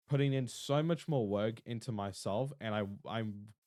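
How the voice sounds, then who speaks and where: A man speaks with an Australian accent. The recording is very clean, and the background is silent. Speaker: streamer. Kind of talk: casual chat. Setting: live stream.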